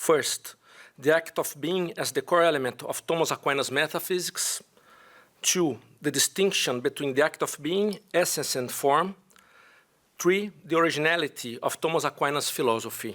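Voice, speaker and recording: With a Brazilian accent, a man talks at a moderate pace in a fairly high pitch with ordinary pitch variation, recorded very cleanly over a silent background. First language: Portuguese. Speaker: philosophy professor. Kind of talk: conference paper presentation. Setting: conference with audience. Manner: halting.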